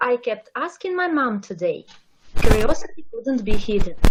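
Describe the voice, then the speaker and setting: In a Russian accent, a woman talks at a fairly slow pace. Her pitch swings very widely. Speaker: amateur poet. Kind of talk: reading aloud.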